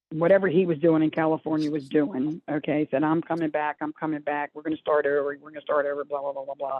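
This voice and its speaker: In a Baltimore accent, a woman talks at a very fast pace with hardly any pauses, her very deep, low pitch held in monotone, flat intonation while her loudness swings widely. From Maryland, Dundalk (Baltimore area). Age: 70s. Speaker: recovering addict and addiction counselor. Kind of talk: testimony. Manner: rambling, halting.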